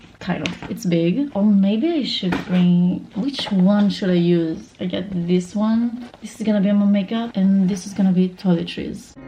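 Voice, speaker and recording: A woman talks at a medium pitch and a fairly slow pace, her pitch varying in an ordinary way, against noticeable background noise. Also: hardly any pauses. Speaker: lifestyle vlogger. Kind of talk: casual vlog chat. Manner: whispering.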